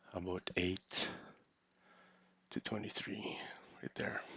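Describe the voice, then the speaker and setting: This man has a very deep, low-pitched voice. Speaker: crypto market analyst. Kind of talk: live tutorial. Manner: halting.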